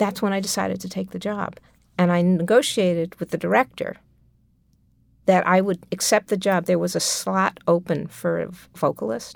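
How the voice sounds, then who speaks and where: A woman speaks at a moderate pace with a New York accent, recorded very cleanly against a silent background. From New York City (Manhattan). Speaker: composer. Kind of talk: interview.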